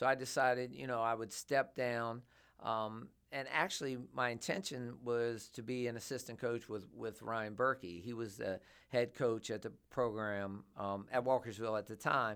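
In a very clean recording with a silent background, a man with an American accent uses a normal speaking voice at a medium pitch, a moderate pace and ordinary pitch variation. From Southern Maryland, US (Waldorf, Charles County). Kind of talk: casual interview.

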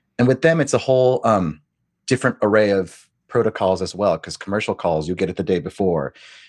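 In a dry, close sound with no echo and a quiet background, a man with an American accent and fairly low pitch speaks in an unremarkable speaking voice at a fairly quick pace with lively intonation. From US, Korean American. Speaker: Broadway actor and audiobook narrator. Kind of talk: casual interview chat.

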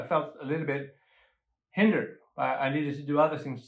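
On a very clean recording with a silent background, a fairly high-pitched man speaks with a Swedish accent. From Sweden. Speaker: musician and lay minister. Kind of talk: casual interview conversation. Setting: on location in a South African township. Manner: halting, with repetitions.

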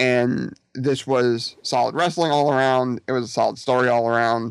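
A man with a plain, everyday voice of medium pitch talks at a moderate pace with fairly even intonation on a very clean recording with a silent background. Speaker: wrestling fan guest. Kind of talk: casual chat.

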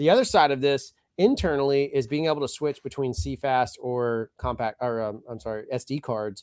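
An animated man at a moderate pace, medium-pitched with ordinary pitch variation and hardly any pauses, in a dry, close sound with no echo. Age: 40s. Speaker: video production company owner. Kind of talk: casual live stream chat. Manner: jokey, animated.

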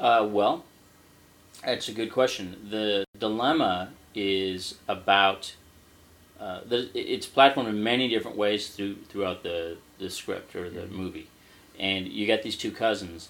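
A man with an American accent talks at a fairly slow pace. His pitch is fairly low, and his intonation fairly even. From Scotland-born, raised in the US. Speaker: screenwriter. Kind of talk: casual interview. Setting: his apartment.

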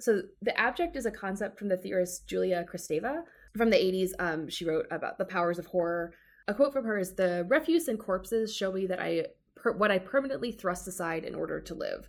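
With an American accent, a woman in a normal speaking voice uses a medium pitch and ordinary pitch variation at a fairly quick pace. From US South, Georgia. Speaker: law librarian, romance writer. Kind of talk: casual book discussion.

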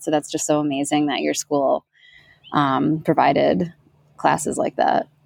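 A woman's very deep, low voice with an American accent, dry and close with no echo. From New York area. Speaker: podcast host. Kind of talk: casual interview.

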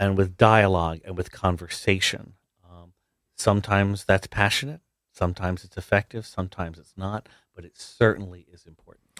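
A man with an American accent and a very deep, low pitch speaks at a fairly quick pace with fairly even intonation and big swings in loudness, in a very clean recording with a silent background and a dry, close sound with no echo. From South Jersey, US. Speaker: university president. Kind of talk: radio interview.

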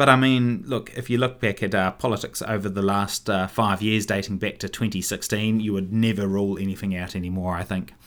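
A man speaks at a fairly low pitch with a New Zealand accent, his intonation fairly even and his pace fairly quick. There are hardly any pauses, and the recording is very clean with a silent background. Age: 30s. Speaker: podcast host and local councillor. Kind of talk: casual solo commentary.

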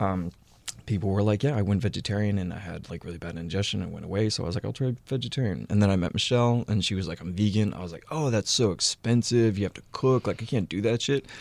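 A man with an American accent talks at a very fast pace in a fairly low pitch, with ordinary pitch variation and big swings in loudness, on a very clean recording with a silent background. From Houston, Texas. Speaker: cookbook author and food photographer. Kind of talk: casual chat.

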